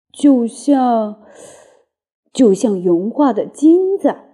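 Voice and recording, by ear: A woman puts on a character voice with a fairly high pitch, big pitch swings, a dark, mellow tone with a slightly husky edge, and a very slow pace.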